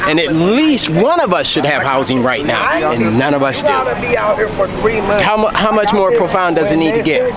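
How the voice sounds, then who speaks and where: With a high pitch, very wide pitch swings and an animated tone, a man talks at a moderate pace with hardly any pauses and very even loudness, amid audible room echo and crowd noise in the background. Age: 60s. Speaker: homeless man, former project manager. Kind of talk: street interview.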